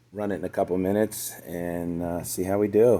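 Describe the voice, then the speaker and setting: A man talks at a very deep, low pitch with a dark, mellow tone. His pace is fairly slow and his intonation fairly even. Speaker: DIY car builder. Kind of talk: DIY build vlog. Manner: casual, with many fillers.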